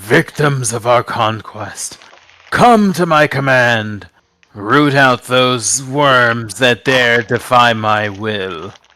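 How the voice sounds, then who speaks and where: Speaking at a very slow pace, a man uses a booming, put-on character voice at a medium pitch. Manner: commanding, domineering.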